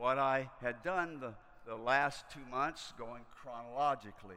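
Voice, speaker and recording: Audible room echo surrounds a man who speaks fairly slowly at medium pitch in a bright, sharp tone, with ordinary pitch variation. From US South, rural Kentucky. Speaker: missionary preacher. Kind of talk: sermon. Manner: halting.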